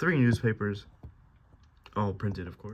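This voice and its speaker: A somewhat breathy man with a fairly low pitch. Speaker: toy set reviewer. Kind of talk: product review.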